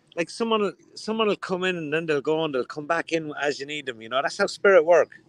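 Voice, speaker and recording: A man with a strong Dublin accent at a very fast pace, fairly high in pitch with ordinary pitch variation, hardly any pauses, in a dry, close sound with no echo. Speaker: spiritualist shop owner. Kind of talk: casual chat.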